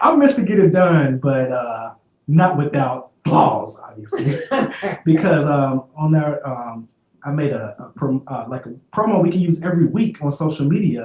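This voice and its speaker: His intonation lively, a man speaks with big swings in loudness. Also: fairly high pitch for a man, moderate pace. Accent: Memphis. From Memphis.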